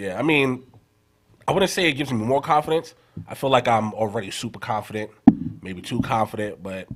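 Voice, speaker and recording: Speaking with a New York accent, the voice moves at a fairly quick pace with lively intonation and long, frequent pauses. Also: man, medium pitch for a man. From New York, Queens. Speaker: rapper. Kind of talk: interview. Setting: studio.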